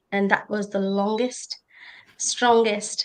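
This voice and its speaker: A woman speaks at a fairly slow pace with an Indian accent. Her intonation stays fairly even. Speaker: nurse and conference panelist. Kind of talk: personal testimony on a panel. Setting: conference panel.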